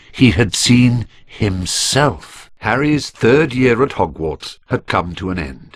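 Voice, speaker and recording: A man's medium-pitched voice with vocal fry, very slow delivery, lively intonation and hardly any pauses. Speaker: video game narrator. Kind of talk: storytelling narration of a story recap.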